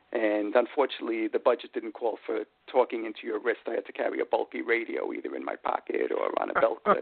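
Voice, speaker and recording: Someone talks at a very fast pace in a New York accent. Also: man, hardly any pauses. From New York City, Queens. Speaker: retired police sergeant and author. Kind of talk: radio interview. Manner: hesitant, many fillers.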